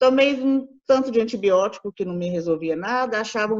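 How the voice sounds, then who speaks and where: Here is a woman in an unremarkable speaking voice. She talks fairly high and fairly quickly. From Brazil, Minas Gerais (Belo Horizonte). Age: 40s. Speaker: patient sharing testimony. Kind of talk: interview testimony.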